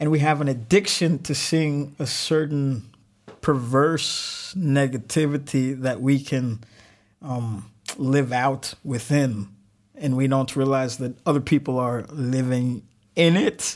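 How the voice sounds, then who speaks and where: A man with an American accent speaks at a very slow pace. His pitch is medium, with ordinary pitch variation. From Alabama, US South. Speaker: artist and musician. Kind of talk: casual interview.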